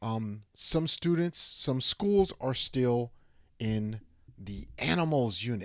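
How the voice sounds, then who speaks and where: A man speaks at a very slow pace with very wide pitch swings. The recording is very clean, with a silent background. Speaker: English teacher, live show host. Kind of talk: live teaching advice show. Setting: live stream. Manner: slow, simple classroom English.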